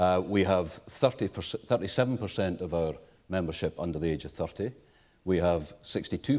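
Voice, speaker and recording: Man's very deep, low voice with a British accent at a fairly quick pace, on a very clean recording with a silent background. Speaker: pension fund chair. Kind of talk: panel discussion. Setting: conference stage with audience.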